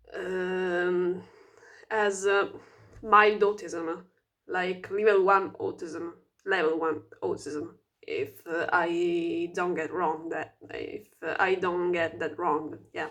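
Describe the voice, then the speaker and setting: A woman speaks very slowly with a non-native accent. Her intonation is monotone and flat. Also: fairly low pitch for a woman. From Italy. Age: 20s. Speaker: vlogger. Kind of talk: casual self-introduction vlog. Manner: halting, many fillers and restarts; stuttering speech.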